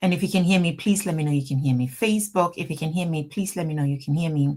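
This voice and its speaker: A woman's fairly low, somewhat breathy voice in a Ghanaian accent, with ordinary pitch variation. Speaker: immigration lawyer hosting a livestream. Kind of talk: live stream Q&A. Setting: office, livestream.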